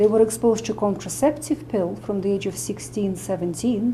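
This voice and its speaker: A woman with a Russian accent speaks at a medium pitch and moderate pace, her dark, mellow voice showing vocal fry and very wide pitch swings. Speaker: medical doctor and nutritionist. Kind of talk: interview explanation.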